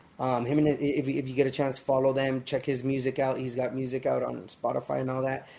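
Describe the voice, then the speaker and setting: A medium-pitched male voice with an American accent. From Los Angeles, US. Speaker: musician. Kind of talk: casual chat.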